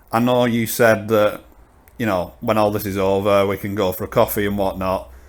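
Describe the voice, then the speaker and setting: Speaking at a moderate pace in a Lancashire accent, a man keeps a fairly low pitch and a monotone, flat intonation. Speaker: podcast host. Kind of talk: interview.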